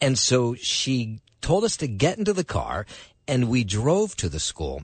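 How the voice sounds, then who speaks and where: Very wide pitch swings in a man's somewhat breathy voice. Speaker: radio news host. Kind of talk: news reading. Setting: studio.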